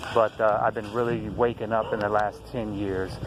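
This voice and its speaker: Noticeable background noise runs behind a man with a fairly low pitch. He speaks at a moderate pace with monotone, flat intonation. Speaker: conspiracy video blogger. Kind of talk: casual monologue to camera. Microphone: poor sound, low volume.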